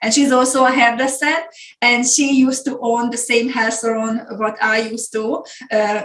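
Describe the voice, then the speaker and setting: With a Hungarian accent, a woman speaks at a fairly high pitch and fairly slow pace in a monotone, flat intonation. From Hungary. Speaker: business coach and consultancy founder. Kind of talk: webinar presentation.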